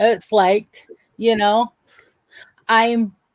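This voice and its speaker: Speaking at a very slow pace, a woman has a Southern US accent. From north Georgia, US South. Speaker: livestream guest. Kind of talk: casual livestream chat.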